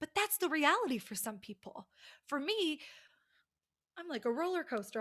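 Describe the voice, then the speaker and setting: Loud and animated, a woman with an American accent talks at a fairly quick pace on a very clean recording with a silent background. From United States. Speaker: college communication teacher. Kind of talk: lecture.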